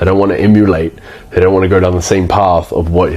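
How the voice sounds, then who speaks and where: Here a man speaks with a New Zealand accent and a very deep, low pitch. His delivery is monotone and flat. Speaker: agency owner / business coach. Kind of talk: casual talking-head tutorial. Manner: casual, with frequent false starts and fillers.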